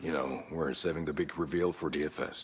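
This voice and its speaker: Doing a put-on character voice, a man speaks in a raspy, very deep, low pitch with monotone, flat intonation, over clear background noise. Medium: video game. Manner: laid-back, blunt.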